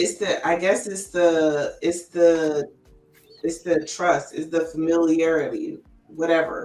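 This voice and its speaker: Over music in the background, a woman with a fairly low pitch speaks very slowly in a monotone, flat intonation. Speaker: podcast host. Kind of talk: casual chat. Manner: loud.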